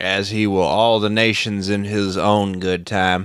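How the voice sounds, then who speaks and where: A man puts on a nasal character voice, fairly low in pitch and monotone, at a fairly slow pace with very even loudness. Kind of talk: pious, scriptural. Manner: sanctimonious.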